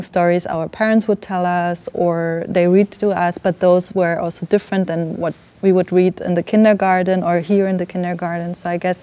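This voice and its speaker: A woman speaks in an Iranian accent at a moderate pace, with a medium pitch and a dark, mellow tone. Her intonation stays monotone and flat. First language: Farsi. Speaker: filmmaker. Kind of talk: panel discussion. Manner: halting, many fillers.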